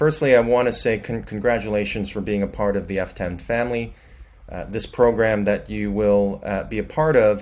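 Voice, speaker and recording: The man's voice sits fairly low in pitch, with ordinary pitch variation and a moderate pace. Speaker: guest. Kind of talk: prepared remote presentation. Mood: friendly, congratulatory. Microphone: webcam.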